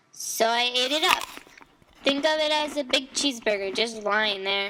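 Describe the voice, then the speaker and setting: A female-sounding put-on character voice speaks at a moderate pace in a high pitch. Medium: read story. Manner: chatty, defensive.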